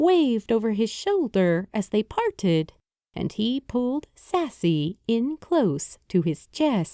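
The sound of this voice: Over a quiet background, someone speaks in an unforced reading voice.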